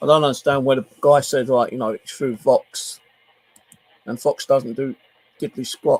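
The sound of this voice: With a slightly mellow tone, a man speaks at a medium pitch. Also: fairly even intonation, moderate pace.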